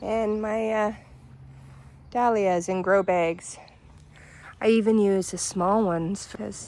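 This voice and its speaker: The speaker has a Canadian accent and fairly even intonation. The pace is very slow, with long, frequent pauses. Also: woman, medium pitch for a woman. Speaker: gardening vlogger. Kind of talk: casual garden tour. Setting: outdoors in front yard by busy street.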